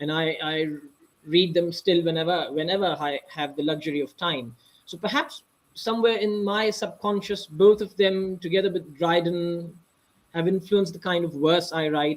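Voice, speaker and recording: The speaker talks at a moderate pace in a Pakistani accent. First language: Urdu. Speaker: author. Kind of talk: interview. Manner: halting.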